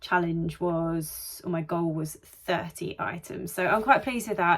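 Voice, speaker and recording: Speaking at a moderate pace with a British accent, a woman uses a fairly low pitch and ordinary pitch variation. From UK. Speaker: vlogger and online seller. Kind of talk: casual vlog talk to camera.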